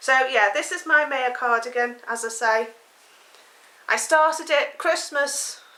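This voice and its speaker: A woman uses a raised, projected voice with a high pitch and a bright, sharp tone. She speaks at a fairly slow pace with long, frequent pauses, her pitch varying in an ordinary way. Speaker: knitting podcaster. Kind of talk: casual chat.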